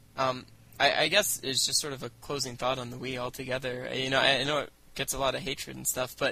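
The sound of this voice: Speaking fast, a man with a medium pitch has vocal fry, a bright, sharp tone and little pitch movement.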